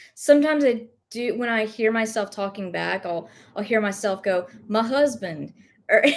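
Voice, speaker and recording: At a fairly slow pace, a woman with a slight Southern US accent talks at a fairly high pitch with ordinary pitch variation. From US South, rural. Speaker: thrift reseller live-streaming. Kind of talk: casual live stream chat. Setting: live stream at home.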